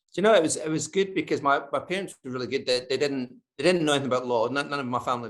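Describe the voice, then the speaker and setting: A man speaks with a Scottish accent against a quiet background. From Scotland. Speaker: advertising strategist. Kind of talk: interview.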